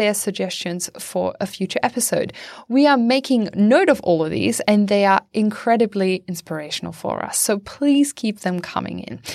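At a moderate pace with hardly any pauses, a woman with a German accent speaks on a very clean recording with a silent background. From Germany. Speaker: podcast host. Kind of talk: podcast hosting. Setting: studio.

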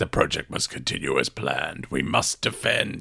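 A man puts on a raspy character voice and speaks at a moderate pace. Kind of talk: formal, robotic speech. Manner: stilted.

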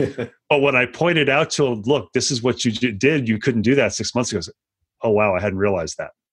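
The intonation rises and falls in a lively way. It is a plain, everyday voice. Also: man, medium pitch for a man, fairly quick pace. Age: 50s. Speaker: exercise physiologist. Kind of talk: interview conversation.

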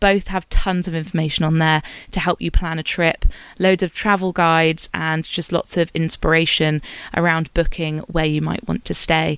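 A woman's fairly low, flat, monotone voice at a moderate pace, with a British accent. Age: 30. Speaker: podcast host. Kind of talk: scripted narration.

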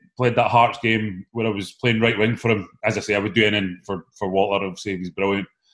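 A man talks in a northeast Scottish accent at medium pitch. His pace is very fast. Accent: Scottish (north-east). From Scotland, Aberdeen. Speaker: former professional footballer. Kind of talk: casual chat.

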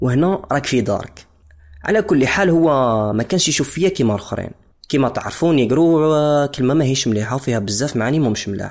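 On a very clean recording with a silent background, a man with an unremarkable speaking voice talks at a fairly quick pace, his fairly high pitch carrying lively intonation. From DR Congo, Lubumbashi. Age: 20s. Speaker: musician. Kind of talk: personal testimony.

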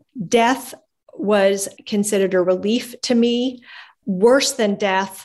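Speaking at a fairly slow pace, a woman has an unremarkable speaking voice of medium pitch with ordinary pitch variation. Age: 50s. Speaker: abuse and trafficking survivor. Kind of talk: testimony.

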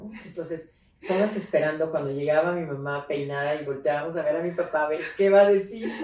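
Against noticeable background noise, a woman with a very deep, low pitch speaks at a fairly quick pace with ordinary pitch variation. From Mexico City, raised in León, Guanajuato. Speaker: politician and feminist activist. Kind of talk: interview. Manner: animated, halting with repetitions.

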